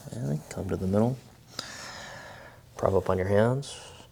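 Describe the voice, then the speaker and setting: A man talks in a relaxed tone at a moderate pace and fairly low pitch. Noticeable background noise can be heard. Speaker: yoga instructor. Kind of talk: guided yoga class instruction. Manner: soft-spoken, relaxed.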